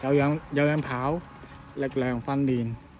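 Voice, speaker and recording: A man's fairly high voice has a relaxed tone. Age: middle-aged. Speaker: amateur runner recovering from injury. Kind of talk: casual vlog talk to camera. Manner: relaxed, hesitant.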